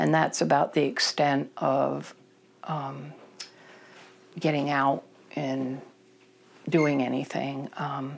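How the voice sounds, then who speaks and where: A woman with an American accent speaks at a very slow pace, leaving long, frequent pauses. Her very deep, low voice carries vocal fry and a monotone, flat intonation. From Vermont, US. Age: 60s. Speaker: person in recovery. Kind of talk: testimony. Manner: halting.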